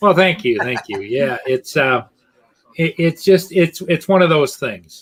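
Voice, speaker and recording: A man speaks with a high pitch and lively intonation. His pace is fairly slow. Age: 60s. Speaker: drone hobbyist viewer. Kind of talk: casual chat.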